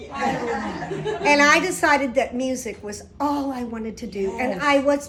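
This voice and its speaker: Over noticeable background noise, a woman uses a raised, projected voice at a high pitch. Her tone is animated. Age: 70s. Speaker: singer and keynote speaker. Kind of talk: keynote speech.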